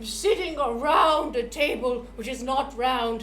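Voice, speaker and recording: Over clear background noise, a woman uses a put-on character voice, pitched high and delivered at a fairly slow pace. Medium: actual play.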